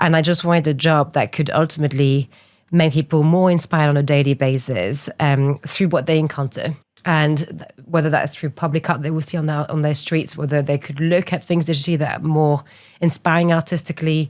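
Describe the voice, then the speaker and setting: Fairly even intonation in a woman's very deep, low voice. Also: fairly quick pace. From France, small island off west coast. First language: French. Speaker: art entrepreneur. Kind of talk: interview.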